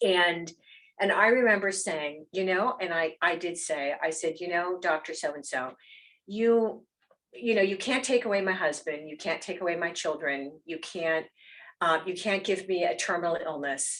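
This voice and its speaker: With ordinary pitch variation, a woman of fairly low pitch speaks at a moderate pace. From US, Erie, Pennsylvania. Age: 60s. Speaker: physician and health executive. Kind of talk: personal talk to members. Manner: halting, many fillers.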